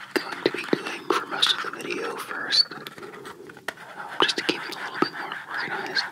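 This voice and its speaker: Whispering at a moderate pace with long, frequent pauses, the voice comes through noticeable background noise. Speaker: ASMR creator. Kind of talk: whispered ASMR Q&A. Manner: whispered.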